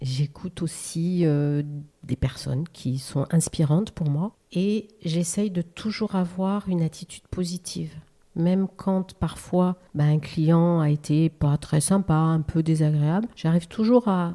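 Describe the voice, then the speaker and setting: Very slowly, a woman talks in a fairly low pitch with ordinary pitch variation. Her tone is dark and mellow. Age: 60s. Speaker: real estate agent. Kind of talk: casual interview chat.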